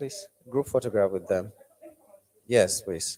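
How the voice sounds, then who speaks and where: Dark, mellow male voice with a Nigerian accent, lively intonation, moderate pace and a dry, close sound with no echo. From Nigeria, Cross River State. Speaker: TV news anchor and event MC. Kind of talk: event emceeing.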